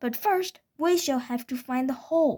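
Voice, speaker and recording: At a moderate pace, a woman performs a put-on character voice pitched high. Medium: read story. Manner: bad-tempered, snappish.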